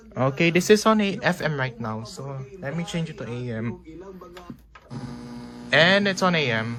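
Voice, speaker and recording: The speaker has a non-native accent and lively intonation, with long, frequent pauses at a moderate pace. Noticeable background noise runs underneath. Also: man, fairly high pitch for a man. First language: not English. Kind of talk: casual tutorial talk to camera. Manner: hesitant, informal.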